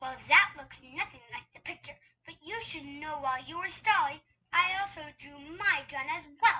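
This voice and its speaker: Using a put-on character voice at an extremely high pitch, a woman talks at a moderate pace with lively intonation and big swings in loudness. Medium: audio drama. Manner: tough-guy, menacing.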